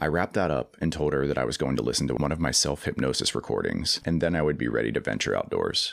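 A man with a very deep, low pitch and vocal fry talks at a very fast pace with hardly any pauses, ordinary pitch variation and very even loudness, on a very clean recording with a silent background. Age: 30s. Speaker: podcast host. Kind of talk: solo monologue narrating a personal story.

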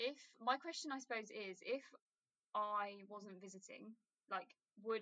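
Bright and sharp in tone, a woman with a British accent speaks at a fairly high pitch in a dry, close sound with no echo. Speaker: podcast host, student. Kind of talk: casual chat.

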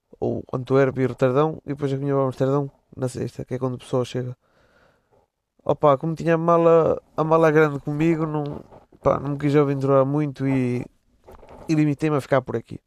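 With a European Portuguese accent, a man talks at a fairly quick pace in a fairly high, monotone voice with flat intonation and long, frequent pauses, the sound dry and close with no echo. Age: 20s. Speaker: podcaster. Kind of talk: casual solo monologue. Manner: casual, slangy.

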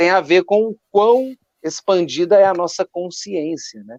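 The sound is dry and close with no echo as the man talks. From Minas Gerais, Brazil. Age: 30s. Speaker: drummer and drum teacher. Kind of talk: casual chat.

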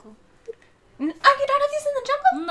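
This is a squeaky, put-on character voice. It moves at a moderate pace. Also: woman, extremely high pitch for a woman. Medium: actual play. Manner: chatty, fussy.

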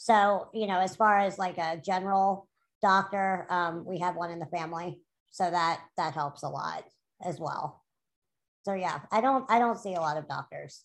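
Using a normal speaking voice at medium pitch, a woman with an American accent talks at a moderate pace with ordinary pitch variation. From New Orleans, US South. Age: 30s. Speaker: artist and graphic designer. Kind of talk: interview.

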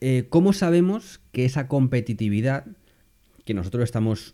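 A man speaks at a fairly slow pace in a dark, mellow tone with very wide pitch swings. The recording is very clean, with a silent background. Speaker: podcast host. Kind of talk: solo podcast monologue. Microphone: new microphone.

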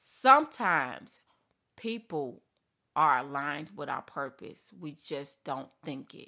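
In a very clean recording with a silent background, a woman with a very deep, low pitch and a bright, sharp tone shows ordinary pitch variation and big swings in loudness. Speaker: podcast host and coach. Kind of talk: solo podcast monologue with faith talk. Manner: fast talker, somewhat mumbled.

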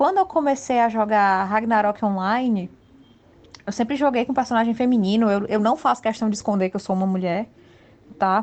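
This is a woman with an ordinary speaking voice, pitched fairly high. She keeps a moderate pace and ordinary pitch variation. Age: 30s. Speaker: illustrator. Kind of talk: casual chat.

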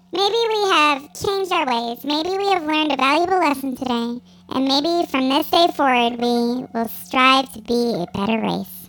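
A put-on character voice, female-sounding and high-pitched, moves at a moderate pace with hardly any pauses. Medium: audio drama. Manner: deadpan, flat.

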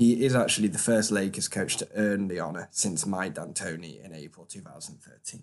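With a British accent, a man speaks in a very deep, low pitch, his loudness swinging widely. His pitch varies in an ordinary way, and he hardly pauses. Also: fairly quick pace. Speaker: sports podcast host. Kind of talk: solo podcast recap. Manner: hesitant, many fillers.

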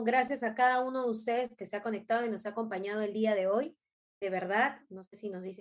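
In an animated tone, a woman speaks fairly quickly at a fairly high pitch with ordinary pitch variation. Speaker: live stream host. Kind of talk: casual chat.

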